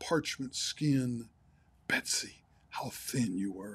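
A man speaks at a very slow pace, his voice somewhat breathy. His intonation is lively. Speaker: pastor. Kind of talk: sermon. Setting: livestream broadcast.

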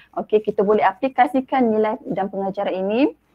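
Her pitch varies in an ordinary way. The woman keeps a moderate pace against a quiet background. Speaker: teacher giving book review. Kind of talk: book review presentation. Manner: hesitant, many fillers. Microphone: video call.

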